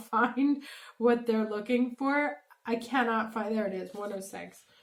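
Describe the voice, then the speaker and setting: Fairly slow speech with fairly even intonation over noticeable background noise. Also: woman. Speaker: tarot reader. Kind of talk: tarot card reading.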